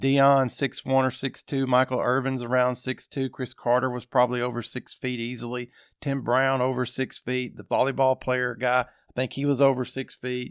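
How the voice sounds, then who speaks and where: Speaking with hardly any pauses in an Arkansas accent, a man holds a medium pitch and monotone, flat intonation on a very clean recording with a silent background. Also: moderate pace. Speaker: sports podcast host. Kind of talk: casual podcast monologue. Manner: conversational, with fillers.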